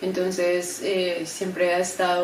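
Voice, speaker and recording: Fairly slow speech from a woman with a fairly low pitch, amid audible room echo and noticeable background noise. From Colombia, Bogotá. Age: 30s. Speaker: graphic designer and embroidery creator. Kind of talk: testimony. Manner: hesitant, many fillers.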